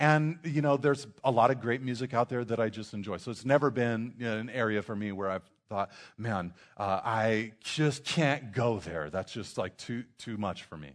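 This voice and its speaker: Over a quiet background, a man speaks in an ordinary speaking voice at medium pitch, with ordinary pitch variation and a moderate pace. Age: 30s. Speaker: pastor. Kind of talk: sermon. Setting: church.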